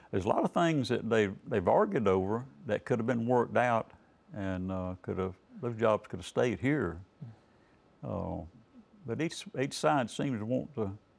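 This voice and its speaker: Talking at a fairly slow pace with long, frequent pauses, a man with a North Carolina accent uses lively intonation at a medium pitch. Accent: US Southern (North Carolina). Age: 70s. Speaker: political candidate. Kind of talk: TV interview. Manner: laid-back; hesitant, many fillers.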